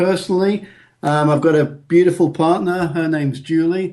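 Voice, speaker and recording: A man talks with a strong northern English accent. His pitch is high and his pace moderate. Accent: northern English, still strong. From northern England, Bolton near Manchester. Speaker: engineer and men's health coach. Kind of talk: podcast interview.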